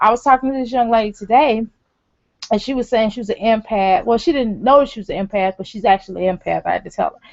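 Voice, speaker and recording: Very fast and fairly high-pitched, a woman with an American accent speaks with ordinary pitch variation and big swings in loudness. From St. Louis, Missouri. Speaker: life coach. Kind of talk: casual talk to camera. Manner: frequent filler 'um'.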